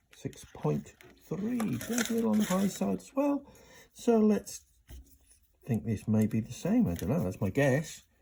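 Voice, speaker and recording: Mumbling with long, frequent pauses. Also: moderate pace. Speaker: pickup maker and repairer. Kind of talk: working commentary. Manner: mumbling to himself.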